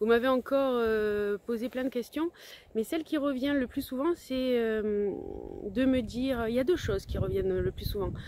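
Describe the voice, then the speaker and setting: With a strong Provençal accent, a woman speaks at a high pitch and moderate pace, with ordinary pitch variation. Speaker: language-learning coach. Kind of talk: casual vlog talk. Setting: outdoors on the beach. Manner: halting, many hesitations.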